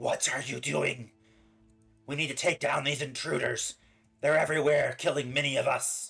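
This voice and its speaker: Doing a raspy, put-on character voice at a fairly high pitch, a man speaks at a moderate pace with long, frequent pauses while faint music plays in the background. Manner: urgent, alarmed.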